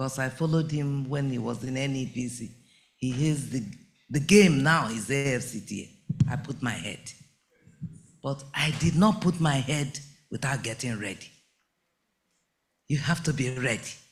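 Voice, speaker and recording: A man's fairly high, somewhat breathy voice at a moderate pace, with ordinary pitch variation, long, frequent pauses and audible room echo. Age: 70s. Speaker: entrepreneur, bag maker. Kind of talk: conference speech.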